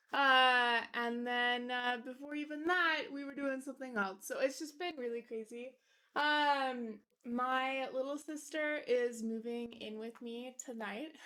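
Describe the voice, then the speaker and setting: Raised and projected, a woman's high, bright, sharp voice moves at a fairly slow pace with fairly even intonation and big swings in loudness. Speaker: keyboard-building streamer. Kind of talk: casual live stream chat. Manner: casual, filler-heavy.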